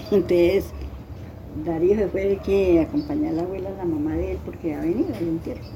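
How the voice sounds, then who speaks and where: A woman speaks at a fairly quick pace. Noticeable background noise runs underneath. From Colombia, Tolima. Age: 80s+. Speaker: interviewee sharing life story. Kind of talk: life story interview. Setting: at her home in a Tolima town.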